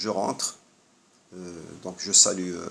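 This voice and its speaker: This man speaks with a very deep, low pitch. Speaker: health vlogger. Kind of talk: monologue. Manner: hesitant.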